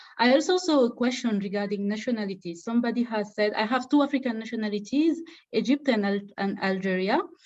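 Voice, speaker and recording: Very fast pace from a woman with a fairly high pitch and ordinary pitch variation. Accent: Senegalese. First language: Wolof. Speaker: fellowship alumna and webinar co-presenter. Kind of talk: online info session Q&A. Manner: halting, repetitive fillers.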